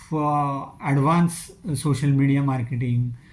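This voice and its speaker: This man speaks with a Marathi accent and a fairly high pitch. His tone is dark and mellow, and somewhat breathy. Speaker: online skills trainer. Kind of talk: channel introduction talk. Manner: hesitant with filler uh.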